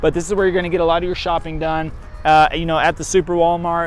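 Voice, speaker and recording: With a Texas accent and a high pitch, a man speaks at a fairly quick pace in a monotone, flat delivery while music plays in the background. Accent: country Texas. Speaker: real estate agent and vlogger. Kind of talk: walking tour vlog. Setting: outdoors. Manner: casual, rambling with fillers.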